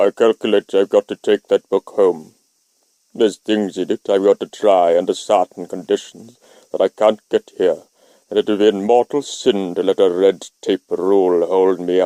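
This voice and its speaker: Putting on a character voice, a man speaks at a moderate pace with a fairly low, resonant pitch in a dry, close sound with no echo. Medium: read story. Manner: blunt, crafty.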